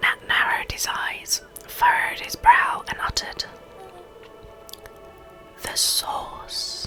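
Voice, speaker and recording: With music in the background, someone whispers at a very slow pace, leaving long, frequent pauses. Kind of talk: reading game dialogue and narration aloud. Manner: whispered.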